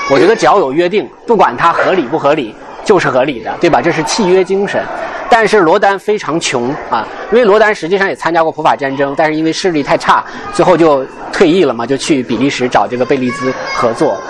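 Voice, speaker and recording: Crowd noise fills the background as a man speaks at a fairly quick pace. His fairly high pitch moves with lively intonation. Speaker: art guide and podcast host. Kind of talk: guided gallery tour talk. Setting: museum exhibition hall with visitors.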